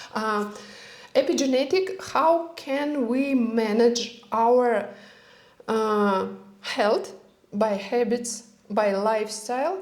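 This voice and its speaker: Speaking very slowly with a non-native accent and lively intonation, the voice leaves long, frequent pauses against audible room echo. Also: woman, fairly high pitch for a woman. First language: not English. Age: 40s. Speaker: health and longevity expert. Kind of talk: casual interview chat. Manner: halting.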